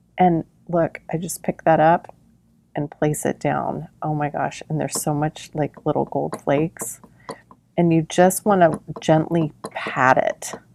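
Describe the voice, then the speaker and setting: A woman speaks quietly with a very deep, low pitch and a monotone, flat intonation. Her pace is fairly slow, and the sound is dry and close with no echo. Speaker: craft tutorial host. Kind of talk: tutorial. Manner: quiet speaking; casual, chatty.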